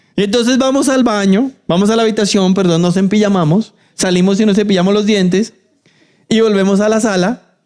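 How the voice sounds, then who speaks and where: A man talks at a fairly quick pace and a high pitch, with fairly even intonation and very even loudness. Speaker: preacher. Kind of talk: sermon.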